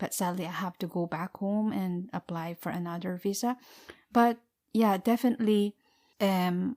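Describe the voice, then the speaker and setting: In a very clean, dry, close recording with a silent background and no echo, a woman speaks with a Filipino accent. Her tone is dark and mellow, her pace moderate and her intonation fairly even. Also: medium pitch for a woman. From Philippines. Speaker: podcast co-host. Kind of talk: casual interview. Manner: hesitant, many fillers.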